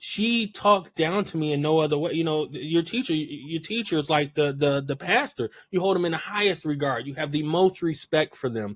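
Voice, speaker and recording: A plain, everyday voice: a man with fairly high pitch, ordinary pitch variation, moderate pace and hardly any pauses. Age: 30s. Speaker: podcast host. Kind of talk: interview podcast.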